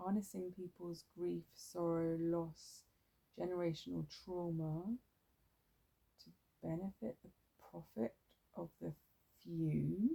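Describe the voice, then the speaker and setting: Very slowly, a woman speaks with long, frequent pauses. Her loudness swings widely. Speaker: tarot reader. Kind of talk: ASMR tarot reading. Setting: outdoors.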